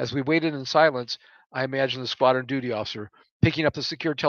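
The speaker gives a plain reading aloud. The background is quiet.

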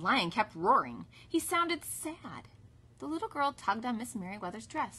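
Simply a natural reading voice

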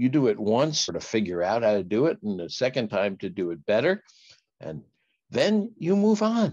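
His tone slightly mellow, a man talks at a moderate pace with big pitch swings.

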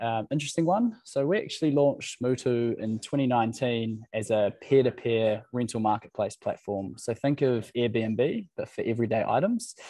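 Speaking with a New Zealand accent, a man with a dark, mellow tone talks at a moderate pace with ordinary pitch variation, in dry sound with no echo against a quiet background. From New Zealand, Waikato. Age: 20s. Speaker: startup founder. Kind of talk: presentation. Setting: video call. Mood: friendly, lightly humorous. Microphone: video call.

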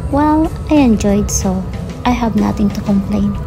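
A woman's voice over clear music in the background. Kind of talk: casual vlog chat. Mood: relaxed, content. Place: train. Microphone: phone near.

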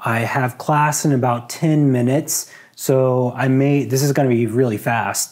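The background is quiet as a man talks at a very slow pace. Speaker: vlogger. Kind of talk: casual vlog chat. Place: home room. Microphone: lapel.

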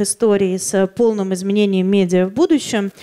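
A woman's dark, mellow tone with fairly even intonation over a quiet background. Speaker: magazine publisher; conference speaker. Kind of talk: conference talk. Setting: stage with audience. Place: hall. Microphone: handheld.

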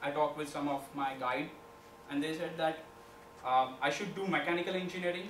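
In a room with audible echo and light background noise, a man talks at a fairly quick pace with a fairly high pitch, fairly even intonation, and long, frequent pauses. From India, Maharashtra. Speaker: student entrepreneurship club leader. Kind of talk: presentation. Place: classroom. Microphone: camera far.

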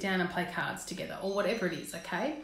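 Speaking at a fast pace, a woman with a fairly low pitch is heard with audible room echo.

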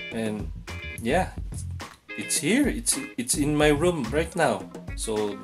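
Clear music plays in the background while a man speaks at a very slow pace. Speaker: vlogger. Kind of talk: casual vlog chat. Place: home room. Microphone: phone near.

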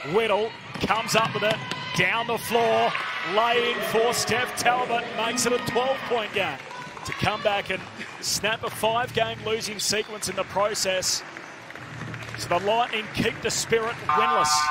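Pitched high for a man, this speaker has an animated tone. He moves at a fairly slow pace amid noticeable background noise. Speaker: basketball commentator. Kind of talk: live sports commentary on game highlights. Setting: voiceover over game footage. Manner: animated, punchy delivery rising on big shots.

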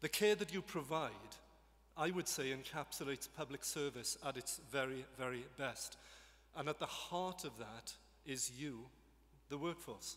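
Bright and sharp in tone, this voice with a Welsh accent moves at a moderate pace with ordinary pitch variation. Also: man. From Wales. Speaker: government minister. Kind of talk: formal speech. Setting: stage with audience. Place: hall. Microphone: podium.

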